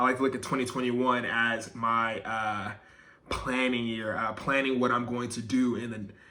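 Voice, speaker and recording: A man talks at a moderate pace in a monotone, flat intonation, his tone bright and sharp. The room echo is audible. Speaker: YouTuber. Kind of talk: personal vlog monologue. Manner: filler-heavy, casual.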